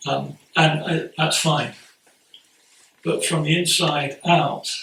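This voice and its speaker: The speaker is a man with an English accent. Audible echo fills the room around him. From England. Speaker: Buddhist priest giving a Dharma talk. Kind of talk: sermon. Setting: priory talk to a gathering. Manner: halting, frequent repetitions and fillers.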